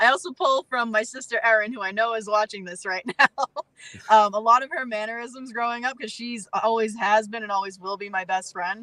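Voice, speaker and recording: The sound is dry and close, with no echo, and the tone is bright and sharp. Pitch varies in an ordinary way while the loudness swings widely. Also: woman, fairly high pitch for a woman, fairly quick pace. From Massachusetts. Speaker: professional wrestler. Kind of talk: casual interview chat.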